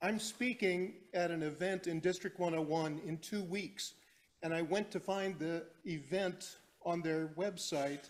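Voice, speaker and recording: Loud, fairly slow speech with fairly even intonation. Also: man, high pitch for a man. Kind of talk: meeting comment.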